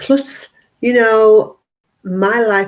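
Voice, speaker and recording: A woman with a British accent. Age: 60s. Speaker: health and wellness coach. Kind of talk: live stream monologue. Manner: animated.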